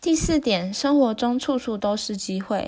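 This woman has an ordinary speaking voice, talking at a moderate pace with lively intonation. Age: 20s. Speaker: book summary channel host. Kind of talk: book summary narration.

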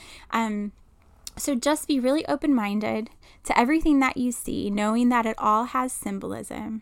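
Here a woman uses a normal speaking voice at a fairly high pitch, with ordinary pitch variation. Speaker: intuitive medium and podcast host. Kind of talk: guided meditation. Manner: slow, soothing, calm and gentle, with long pauses and audible sighs; soft-spoken, hushed and reassuring.

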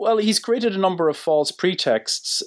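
On a very clean recording with a silent background, a man with an Irish accent speaks with fairly even intonation. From Ireland. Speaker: politics professor. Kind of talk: interview. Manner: hesitant, many fillers and repetitions.

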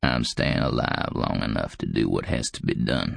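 A man's put-on character voice, extremely low and croaky, with vocal fry, ordinary pitch variation and a moderate pace.

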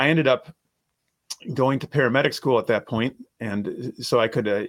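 Recorded very cleanly against a silent background, a man delivers fairly even intonation at a fairly quick pace in a normal speaking voice. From Minnesota. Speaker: attorney. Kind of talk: casual interview.

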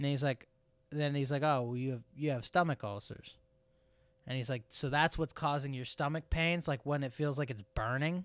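This very clean recording with a silent background has a man with a normal speaking voice and a fairly high pitch talking at a moderate pace with fairly even intonation. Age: 30s. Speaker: podcast co-host. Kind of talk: casual chat.

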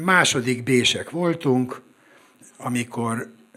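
A man's voice at medium pitch. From Budapest, Hungary. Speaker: screenwriter and coach. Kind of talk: live storytelling. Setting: stage with audience.

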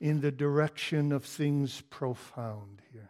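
A man with a dark, mellow tone and a fairly high pitch speaks very slowly. His intonation stays fairly even. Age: 50s. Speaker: pastor. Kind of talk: sermon.

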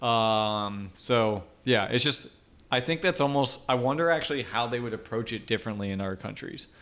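In a very clean recording with a silent background, a man with a plain, everyday voice speaks at a medium pitch and a moderate pace with ordinary pitch variation. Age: 20s. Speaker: podcast co-host, software developer. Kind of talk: casual chat. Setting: studio.

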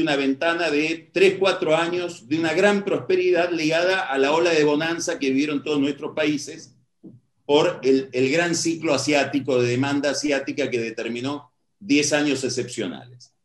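Here is a man with an ordinary speaking voice. He talks at a moderate pace and a fairly high pitch. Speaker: political analyst. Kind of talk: lecture.

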